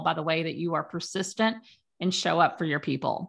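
At a fairly quick pace, a plain, everyday voice speaks with fairly even intonation over a quiet background. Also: woman. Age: 50s. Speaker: author and coaching client. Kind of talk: interview. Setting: video call.

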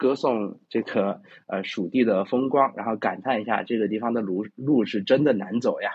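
A man with a fairly low pitch. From China, Chengdu (Sichuan). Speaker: classical literature presenter. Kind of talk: lecture. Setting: online voice chat room. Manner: hesitant, many fillers.

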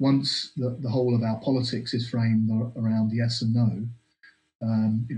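A man's medium-pitched, somewhat breathy voice with a dark, mellow tone, monotone, flat intonation and a moderate pace. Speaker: political commentator guest. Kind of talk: analytical political discussion.

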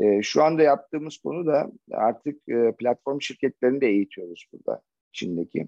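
The sound is dry and close with no echo as a man speaks in a dark, mellow tone with ordinary pitch variation. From Turkey, Çanakkale. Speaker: logistics manager. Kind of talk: interview. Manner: halting, many fillers.

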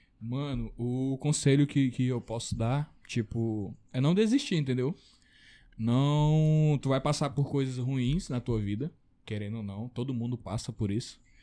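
A man talks at a fairly slow pace in a medium pitch with a dark, mellow tone and ordinary pitch variation. The recording is very clean, with a silent background. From Acre, Brazil. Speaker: bodybuilder. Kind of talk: casual chat.

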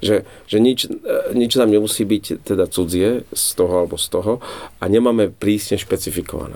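Here a man speaks at a moderate pace with fairly even intonation. His pitch sits fairly low. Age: 40s. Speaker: Franciscan friar. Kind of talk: casual chat.

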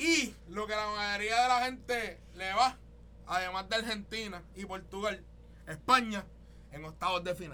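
With a Puerto Rican accent, a man speaks in a high, raised, projected voice with a bright, sharp, animated tone. His pace is fairly slow, broken by long, frequent pauses. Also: big swings in loudness. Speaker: podcast host. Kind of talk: casual chat.

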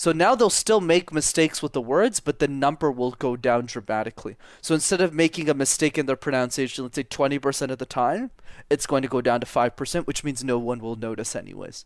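Very fast speech in a Canadian accent, with ordinary pitch variation, is heard in a very clean recording with a silent background and a dry, close sound with no echo. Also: man, fairly high pitch for a man. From Quebec, Canada. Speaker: public speaking coach. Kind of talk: podcast interview.

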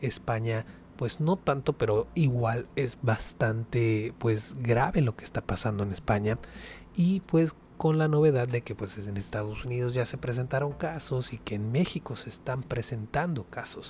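This man has a medium-pitched, somewhat breathy voice with ordinary pitch variation. He talks at a fairly slow pace. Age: 20s. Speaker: podcast host. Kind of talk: casual solo commentary.

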